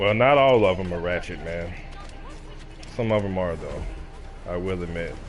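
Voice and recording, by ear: Here a man speaks in a low pitch at a moderate pace. His pitch variation is ordinary.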